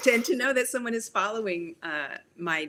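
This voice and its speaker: A woman talks in a Canadian accent at a fairly quick pace. Her tone is bright and sharp. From Canada, Toronto. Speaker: children's book author. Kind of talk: interview conversation.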